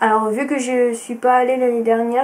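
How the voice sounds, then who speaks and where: Noticeable background noise under a woman's moderate-paced, high-pitched speech. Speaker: sewing vlogger. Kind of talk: casual vlog talk to camera. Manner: hesitant, many fillers.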